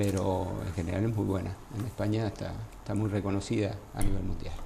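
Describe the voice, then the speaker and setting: With noticeable background noise and audible echo in the room, the speaker talks fairly quickly, keeping the intonation fairly level. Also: man, fairly low pitch for a man. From Argentina, Entre Ríos province. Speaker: gynecologist. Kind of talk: interview.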